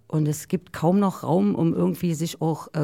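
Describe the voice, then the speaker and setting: A woman's fairly low-pitched voice with a dark, mellow tone, a moderate pace and a dry, close sound with no echo. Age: 40s. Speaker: DJ. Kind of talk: casual chat. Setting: studio.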